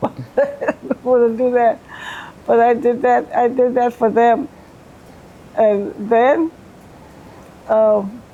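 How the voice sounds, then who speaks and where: With an American accent, a woman speaks at a high pitch, very slowly, with long, frequent pauses. Her loudness stays very even, her pitch varies in an ordinary way, and background noise is noticeable. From Beaufort County, South Carolina. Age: 80s+. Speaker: retired Air Force veteran, beautician. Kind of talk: interview answer.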